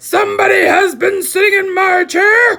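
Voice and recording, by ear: A put-on character voice shouts at an extremely high pitch. It sounds gruff and moves at a moderate pace.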